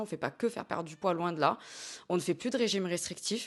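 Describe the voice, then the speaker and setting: A woman's voice at a medium pitch. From southern France, Hérault. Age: 20s. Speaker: dietitian-nutritionist. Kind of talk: interview. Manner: hesitant, frequent fillers.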